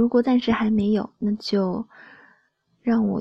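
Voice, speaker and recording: The voice is somewhat breathy, with a gentle tone. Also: woman. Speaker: solo podcast host. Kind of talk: late-night monologue. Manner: soft-spoken, gentle.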